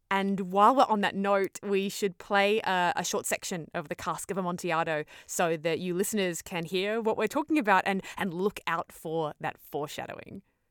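A woman speaks at a medium pitch with ordinary pitch variation. The sound is dry and close with no echo, in a very clean recording with a silent background. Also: hardly any pauses. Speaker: podcast host and creative director. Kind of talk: casual chat. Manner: fast when excited; animated.

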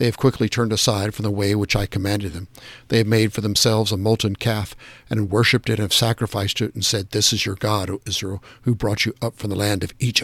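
A man with a fairly low pitch speaks at a fairly quick pace in a solemn tone, somewhat breathy. His intonation is monotone and flat, and the sound is dry and close with no echo. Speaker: daily prayer leader reading devotional. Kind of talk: scripture reading and liturgical prayer. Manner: measured, formal, solemn.

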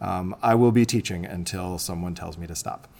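The speaker has a Midwestern American accent, and the recording is very clean with a silent background. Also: man. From US Midwest, Illinois. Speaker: high school English teacher and testing coordinator. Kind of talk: interview.

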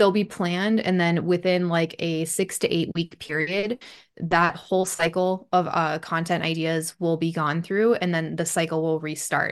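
A woman with an American accent and a normal speaking voice, fairly low in pitch, fairly even in intonation, at a moderate pace with hardly any pauses, against a quiet background. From US Upper Midwest, Bismarck, North Dakota. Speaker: hairstylist and Instagram marketing coach. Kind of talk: casual interview chat.

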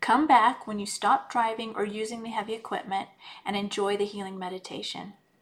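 A woman's fairly high, somewhat breathy voice with a gentle tone. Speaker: healing coach and podcast host. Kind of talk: guided meditation; solo talk. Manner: gentle, measured pacing with pauses.

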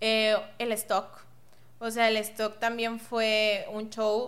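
The woman's pitch is fairly high. Her intonation is monotone and flat. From Mexico, Monterrey. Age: 20s. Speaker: entrepreneur, online store founder. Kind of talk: podcast interview.

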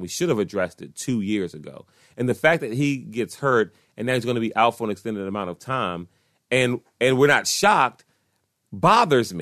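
Against a quiet background, a man in an unremarkable speaking voice talks at a moderate pace and medium pitch, with lively intonation and a dry, close sound free of echo. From Washington, D.C. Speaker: sports podcast host. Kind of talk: casual solo sports commentary. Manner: conversational, frequent fillers.

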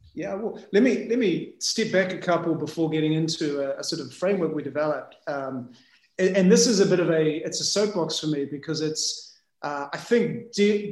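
The speaker has a New Zealand accent. The pace is moderate. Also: man. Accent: New Zealand (Kiwi). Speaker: business founder and CEO. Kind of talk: casual interview chat.

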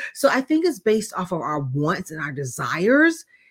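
Very wide pitch swings and a somewhat breathy sound, with an American accent, at a moderate pace on a very clean recording with a silent background. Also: woman. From US South, Jacksonville, Florida. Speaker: life coach. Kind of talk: casual interview. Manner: animated.

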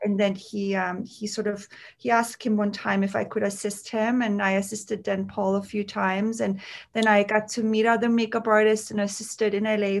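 A woman with a German accent, fairly high-pitched, at a moderate pace against a quiet background. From Austria, Tyrol ski region near Kitzbühel. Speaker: makeup artist and beauty founder. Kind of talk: casual interview.

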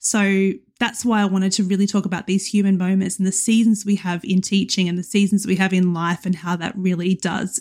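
A woman speaks at a moderate pace in a somewhat breathy voice, recorded very cleanly against a silent background. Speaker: teacher and podcast host. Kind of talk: solo podcast monologue. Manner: casual, with filler ums.

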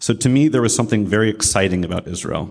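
A man with a Midwestern American accent. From US Midwest (Columbus, Ohio). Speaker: army veteran and baker. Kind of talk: prepared talk at a religious service. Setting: room with live audience.

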